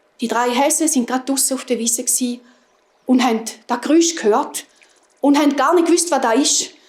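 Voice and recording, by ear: Pitched high, a woman speaks at a moderate pace with ordinary pitch variation and a slightly mellow tone.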